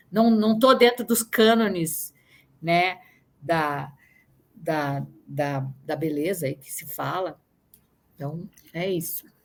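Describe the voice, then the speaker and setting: A woman at a very slow pace with lively intonation, big swings in loudness and long, frequent pauses. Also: fairly low pitch for a woman. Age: 60s. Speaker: actress. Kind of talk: interview. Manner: halting.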